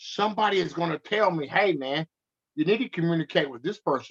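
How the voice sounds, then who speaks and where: With an American accent, a man delivers his words in an animated tone. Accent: country speech when upset. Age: 50s. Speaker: activist, relative of police violence victim. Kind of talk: interview conversation.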